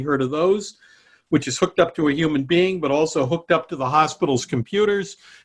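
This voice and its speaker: A man with a plain, everyday voice, fairly high pitch, ordinary pitch variation and a fairly quick pace. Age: 60s. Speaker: cybersecurity research director and adjunct professor. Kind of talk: online presentation to students. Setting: video call. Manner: conversational.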